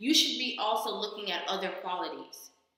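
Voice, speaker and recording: Against a quiet background, a woman speaks at a moderate pace with ordinary pitch variation amid strong room echo. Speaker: reaction vlogger. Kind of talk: casual commentary. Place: home room. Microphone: webcam.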